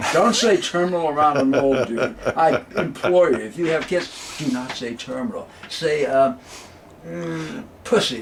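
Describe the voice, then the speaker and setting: Against noticeable background noise, a man's fairly high voice swings very widely in pitch. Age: 70s. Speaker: jazz clarinetist. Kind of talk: casual interview.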